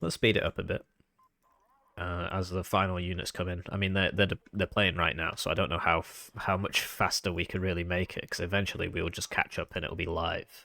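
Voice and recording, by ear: A man's put-on character voice, croaky and very deep, fairly quick and monotone and flat, on a very clean recording with a silent background.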